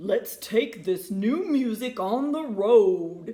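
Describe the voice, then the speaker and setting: Put-on character voice, delivered very slowly. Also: woman, fairly high pitch for a woman. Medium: read story. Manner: jovial, boisterous.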